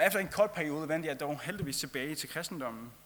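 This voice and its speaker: A man with a Faroese accent and ordinary pitch variation. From Faroe Islands. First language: Faroese (speaking Danish). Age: 20s. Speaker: travelling lay preacher. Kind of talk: sermon.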